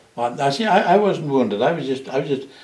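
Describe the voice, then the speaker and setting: In an American accent, a man talks at a very fast pace with audible room echo. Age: 80s+. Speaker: war veteran. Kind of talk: oral history interview. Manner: halting.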